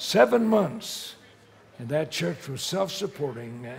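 A man is speaking. His tone is animated. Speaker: preacher. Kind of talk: sermon. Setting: church or conference with live audience. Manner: animated, emphatic preaching delivery with audience call-and-response. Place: church.

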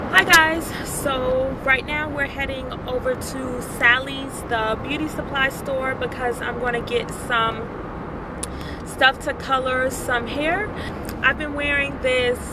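Speaking at a very slow pace, a woman uses ordinary pitch variation in a dry recording with no echo and noticeable background noise. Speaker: vlogger. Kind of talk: casual vlog chat. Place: car. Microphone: phone near.

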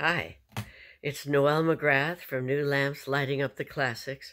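Over a quiet background, a woman speaks at a moderate pace with a very deep, low pitch. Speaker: actor performing a monologue. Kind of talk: theatrical monologue with a spoken introduction. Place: home room. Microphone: webcam.

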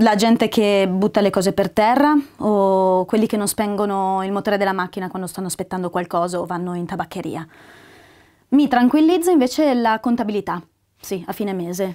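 At a fairly quick pace, a woman speaks with a medium pitch, ordinary pitch variation and a dark, mellow tone against a quiet background. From northern Italy, Parma; northern Italy. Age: 30s. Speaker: actress. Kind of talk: self-presentation. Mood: lively, expressive, personal. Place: home room.

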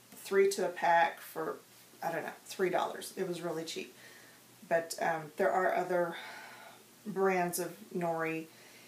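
Pausing long and often, a woman speaks at a fairly slow pace with audible room echo. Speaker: craft tutorial host. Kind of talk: tutorial. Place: home room.

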